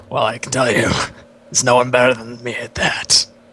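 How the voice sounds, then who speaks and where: A man puts on a raspy character voice at medium pitch. He talks at a fairly quick pace. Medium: actual play. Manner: hesitant, mumbling.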